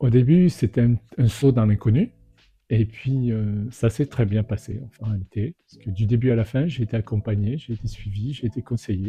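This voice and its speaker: This man has a dark, mellow, somewhat breathy voice at medium pitch, with ordinary pitch variation and a moderate pace. His loudness swings widely, and the sound is dry and close with no echo. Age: 60s. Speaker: real estate inspector, franchisee. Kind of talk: testimonial interview. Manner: hesitant, many fillers.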